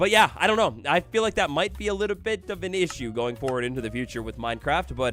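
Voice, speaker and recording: Over music in the background, a man with an American accent rushes along at a very fast pace with hardly any pauses, his medium pitch making very wide swings. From England and US Midwest. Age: 20s. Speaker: gaming streamer. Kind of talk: casual live stream chat. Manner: animated, casual with many fillers.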